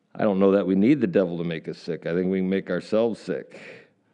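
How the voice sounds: Natural voice, reading aloud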